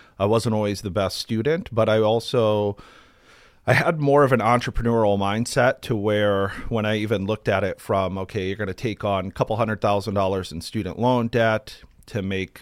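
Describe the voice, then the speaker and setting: This is a plain, everyday voice of a man with an American accent, pitched fairly low. The recording is very clean, with a silent background. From Ohio, US Midwest (Akron area). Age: 40s. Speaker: mortgage company owner. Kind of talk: interview conversation. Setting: studio.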